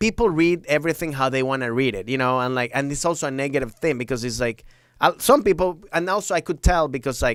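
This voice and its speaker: A man with a Venezuelan accent and a fairly high pitch speaks at a very fast pace with lively intonation, in a very clean recording with a silent background. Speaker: stand-up comedian. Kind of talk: podcast interview answer. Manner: casual, animated.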